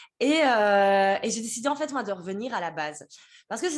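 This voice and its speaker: Here a woman speaks at a fairly high pitch with lively intonation. It is an unremarkable speaking voice. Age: 30s. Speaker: business mentor. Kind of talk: interview.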